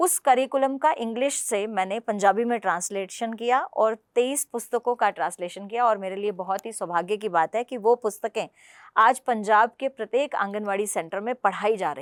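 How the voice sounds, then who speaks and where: A woman with a Punjabi accent speaks at a fairly high pitch with ordinary pitch variation. The sound is dry and close with no echo, in a very clean recording with a silent background. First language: Punjabi (speaking Hindi). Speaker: political party spokesperson and translator. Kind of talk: interview.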